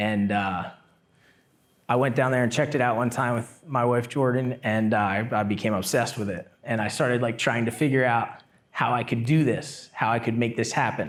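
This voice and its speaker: This man has an unremarkable speaking voice of medium pitch, speaking at a moderate pace with fairly even intonation and very even loudness. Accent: American. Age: 30s. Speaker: semi-pro surfer and YouTuber. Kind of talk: casual interview chat.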